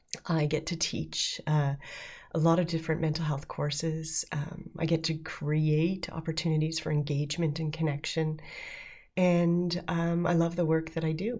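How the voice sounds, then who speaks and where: Somewhat breathy, a woman with a Canadian accent talks at a moderate pace in a very deep, low pitch and a monotone, flat intonation. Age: 50s. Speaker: podcast host, mental health professional. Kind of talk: solo podcast monologue. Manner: hesitant with many fillers.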